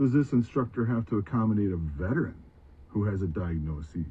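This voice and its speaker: A man talks in a fairly low, somewhat breathy voice. His pitch swings very widely. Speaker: student veteran, commentator. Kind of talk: monologue commentary.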